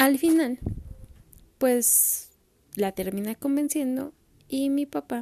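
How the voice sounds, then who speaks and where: A woman with a Mexican accent is heard in a dry, close sound with no echo. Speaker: podcaster. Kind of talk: personal storytelling monologue.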